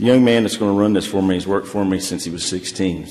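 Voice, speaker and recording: Over noticeable background noise and audible room echo, a man with a very deep, low voice talks at a very fast pace with fairly even intonation. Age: 60s. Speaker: restaurant owner. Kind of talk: public hearing testimony. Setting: council chamber. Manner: casual, rambling with fillers.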